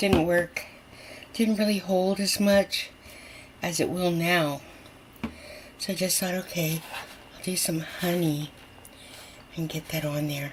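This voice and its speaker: This woman has a fairly low voice with ordinary pitch variation. She speaks at a fairly slow pace, with long, frequent pauses. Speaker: home cooking video host. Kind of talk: casual cooking tutorial. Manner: animated; whispering at times.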